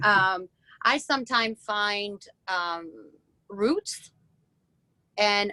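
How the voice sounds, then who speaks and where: In a French accent, a woman speaks at a fairly high pitch with a bright, sharp tone and a dry, close sound with no echo. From France. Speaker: woodturner. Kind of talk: interview on a live video event. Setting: video call. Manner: halting.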